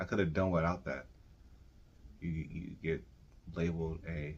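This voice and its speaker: A man speaks at a very deep, low pitch with vocal fry. Long pauses come often. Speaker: video collector podcast host. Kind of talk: casual chat.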